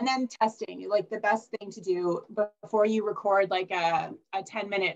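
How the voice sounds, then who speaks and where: A woman talks at a moderate pace with fairly even intonation. It is an ordinary speaking voice. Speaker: library staff presenter. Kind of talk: conference presentation.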